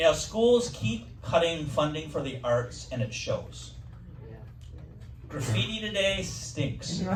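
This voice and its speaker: A man with an American accent speaks at a very slow pace, leaving long and frequent pauses over noticeable background noise. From Wisconsin. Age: 60s. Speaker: comedian. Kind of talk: stand-up.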